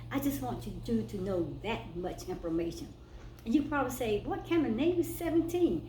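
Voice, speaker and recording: Moderate-paced speech from a woman amid noticeable background noise and audible room echo. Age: 60s. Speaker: spiritual vlogger. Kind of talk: personal testimony vlog. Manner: casual, conversational.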